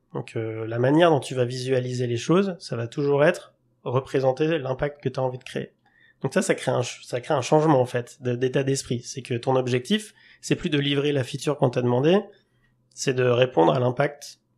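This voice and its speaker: A normal speaking voice, moderately paced and with ordinary pitch variation. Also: man. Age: 30s. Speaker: product management consultant. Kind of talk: podcast interview.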